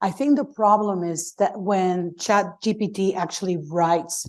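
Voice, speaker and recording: This woman speaks with a non-native accent at a medium pitch and ordinary pitch variation. The recording is very clean, with a silent background. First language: not English. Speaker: professor and panelist. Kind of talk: panel discussion. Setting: conference panel with audience.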